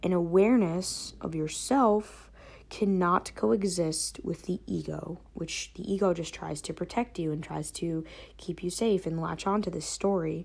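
A woman talks at a fairly low pitch with vocal fry and a fairly slow pace. The recording is very clean, with a silent background. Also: ordinary pitch variation. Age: 20s. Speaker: online coach and podcast host. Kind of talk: solo monologue, personal storytelling. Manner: casual, conversational.

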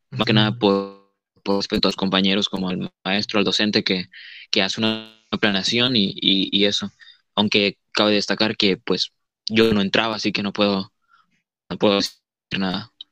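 The man's fairly low voice has a bright, sharp tone and monotone, flat intonation, moving at a moderate pace in a dry, close sound with no echo. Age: 20s. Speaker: student. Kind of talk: casual chat. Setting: video call.

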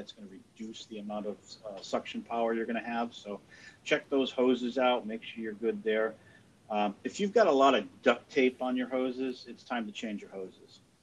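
A man speaks with an American accent at a medium pitch. He has a plain, everyday voice with ordinary pitch variation. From US Northeast. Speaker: podcast host, insulation company. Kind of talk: casual chat.

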